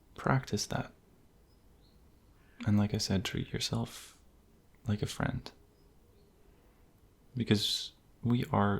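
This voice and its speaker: A soft-spoken man's fairly low, calm voice with vocal fry, fairly even intonation and a very slow pace. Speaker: ASMR creator. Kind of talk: soft-spoken ASMR affirmations. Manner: soft-spoken, calm.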